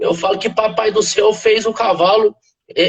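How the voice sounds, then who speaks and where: At a moderate pace, a man with a slight southern Minas Gerais accent speaks in a high pitch with ordinary pitch variation. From southern Minas Gerais, Brazil. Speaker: veterinarian and animal nutrition expert. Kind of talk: interview on a live stream. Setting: live video call. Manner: hesitant, frequent filler words.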